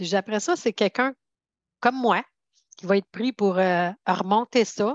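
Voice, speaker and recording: In a Quebec accent, a woman talks at a fairly quick pace and medium pitch with ordinary pitch variation, the sound dry and close with no echo over a quiet background. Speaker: financial security advisor. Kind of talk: interview.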